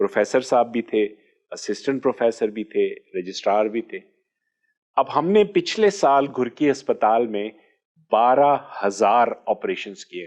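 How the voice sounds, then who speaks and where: Against a quiet background, a man speaks in an ordinary speaking voice at a medium pitch with lively intonation. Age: 60s. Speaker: orthopaedic surgeon. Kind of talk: interview.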